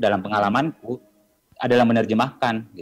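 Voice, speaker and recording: A man with a medium pitch talks at a very fast pace. The sound is dry and close, with no echo. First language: Bugis (speaking Indonesian). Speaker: poet. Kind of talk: panel discussion. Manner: halting, many fillers.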